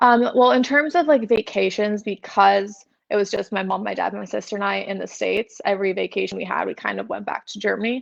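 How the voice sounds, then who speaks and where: A woman with a Californian accent at a fairly quick pace, with hardly any pauses. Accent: Californian American. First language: German. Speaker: model. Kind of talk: podcast interview.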